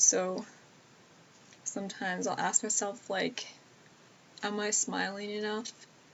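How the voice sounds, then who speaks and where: Noticeable background noise sits behind a woman's medium-pitched voice. She talks fairly slowly, with fairly even intonation. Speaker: YouTuber answering viewer questions. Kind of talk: live stream Q&A. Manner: hesitant, many fillers.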